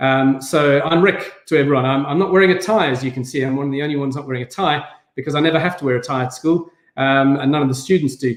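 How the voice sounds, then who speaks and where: Talking at a very fast pace, a man with a South African accent uses fairly even intonation at a fairly high pitch. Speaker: head teacher. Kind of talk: online event talk. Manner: hesitant, many fillers.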